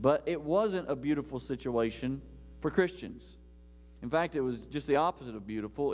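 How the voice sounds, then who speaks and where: Music plays in the background. A man is speaking. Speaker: pastor. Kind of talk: sermon. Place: church.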